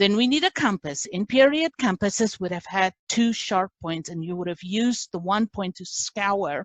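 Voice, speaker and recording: A woman's medium-pitched voice with a non-native accent and lively intonation, dry and close with no echo over a quiet background. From South Africa. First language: not English. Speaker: class instructor. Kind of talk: lecture.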